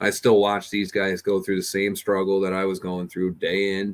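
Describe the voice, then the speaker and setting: A man's monotone voice with flat intonation. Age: 30s. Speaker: mechanic and amateur drag racer, channel host. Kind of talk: casual chat. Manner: talkative.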